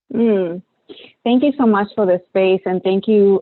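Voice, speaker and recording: A woman with a strong Puerto Rican accent. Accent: thick Puerto Rican Spanish. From Puerto Rico. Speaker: clinical psychologist, researcher. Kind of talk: panel discussion. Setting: webinar video call.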